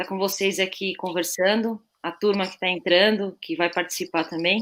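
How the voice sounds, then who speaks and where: An unremarkable speaking voice from a woman, medium in pitch, at a moderate pace with fairly even intonation. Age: 30s. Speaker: assistant football coach, former player. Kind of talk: live webinar panel discussion.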